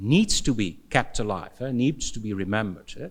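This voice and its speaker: A man with a Dutch accent speaks at a moderate pace. His intonation is lively. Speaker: philosophy professor. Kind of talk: conference Q&A answer. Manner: halting, many fillers and repetitions.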